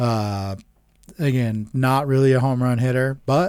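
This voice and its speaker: A man is talking. The tone of his voice is dark and mellow. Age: 30s. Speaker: sports podcast co-host. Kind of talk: casual chat. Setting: studio.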